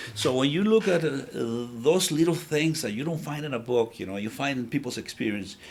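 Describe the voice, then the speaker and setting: Speaking in a Spanish accent at a very fast pace, a man's voice swings very widely in pitch. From El Salvador. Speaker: business founder. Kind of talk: interview. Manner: halting.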